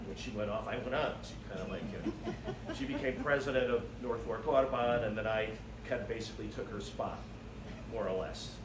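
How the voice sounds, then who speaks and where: A man talks at a fairly quick pace in a room with audible echo. Noticeable background noise runs underneath. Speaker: birding society volunteer giving a talk. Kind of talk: slide-show talk. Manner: loud. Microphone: no microphone.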